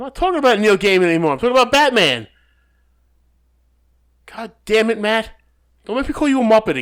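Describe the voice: In a very clean recording with a silent background, a man speaks at a very fast pace and high pitch, with lively intonation, big swings in loudness, and long, frequent pauses. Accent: Long Island.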